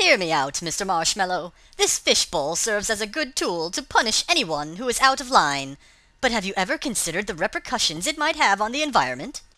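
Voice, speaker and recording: A female-sounding put-on character voice moves at a fairly quick pace, pitched medium with very wide pitch swings. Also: very clean recording, silent background. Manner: rambling, cheeky.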